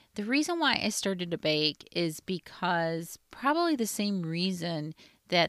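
In a normal speaking voice, a woman talks at a fairly slow pace with a fairly low pitch, the sound dry and close with no echo on a very clean recording with a silent background. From US Midwest. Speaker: podcast host, lawyer and food entrepreneur. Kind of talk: solo podcast monologue, personal storytelling.

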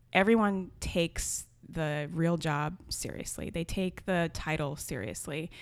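On a very clean recording with a silent background, a woman with an American accent and vocal fry speaks in a fairly low voice at a fairly slow pace with hardly any pauses. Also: ordinary pitch variation. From US (left Jamaica at age three). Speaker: comedy writer and blogger. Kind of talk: interview. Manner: halting.

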